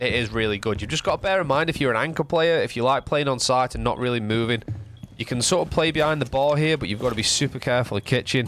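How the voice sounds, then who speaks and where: A man with a northern English accent at a very fast pace. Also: medium pitch for a man, ordinary pitch variation. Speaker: gaming guide youtuber. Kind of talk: tutorial.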